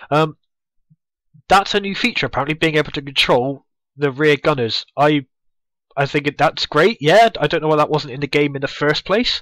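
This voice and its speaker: With a Bristol accent and ordinary pitch variation, the speech moves at a moderate pace with long, frequent pauses in a dry, close sound with no echo on a very clean recording with a silent background. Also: man, fairly high pitch for a man. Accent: Bristolian English. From Bristol, England. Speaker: gaming youtuber. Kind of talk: gameplay commentary. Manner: casual, many fillers.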